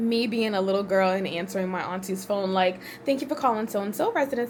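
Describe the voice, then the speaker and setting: Fairly quick talking from a woman at a medium pitch, ordinary in its pitch variation, with noticeable noise behind it. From US, Haitian immigrant family. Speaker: vlogger. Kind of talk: casual talk to camera. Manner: animated.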